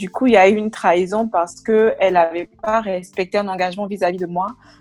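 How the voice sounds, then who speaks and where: A woman's medium-pitched voice with fairly even intonation, music in the background. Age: 20s. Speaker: project manager giving a faith testimony. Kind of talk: testimony.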